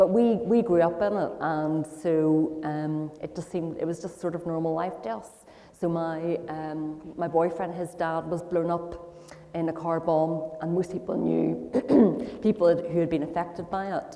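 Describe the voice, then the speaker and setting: Fairly low-pitched woman's voice in a Northern Irish accent, fairly even intonation and a moderate pace, over noticeable background noise. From Northern Ireland, Belfast. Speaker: guest speaker sharing life story. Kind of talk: testimony interview.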